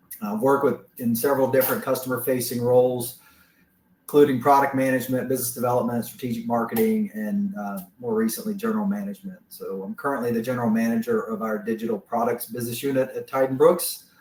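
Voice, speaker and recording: A man's very fast, lively Southern US-accented talk at a medium pitch, with a Southern US accent. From US South. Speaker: business manager presenting products. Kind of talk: webinar presentation. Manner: frequent filler words.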